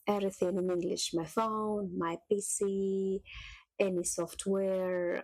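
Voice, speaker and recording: A woman's very slow, monotone voice at a medium pitch, flat in intonation. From Russia. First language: Russian. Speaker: cooking youtuber. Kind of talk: casual vlog talk.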